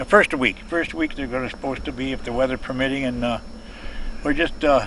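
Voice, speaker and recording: A man's medium-pitched voice in an Upper Midwest accent, at a very fast pace, over noticeable background noise. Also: ordinary pitch variation. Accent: Upper Midwest American (Michigan). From Michigan (Saginaw). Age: 80s+. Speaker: building contractor. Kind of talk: casual chat. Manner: halting, many fillers.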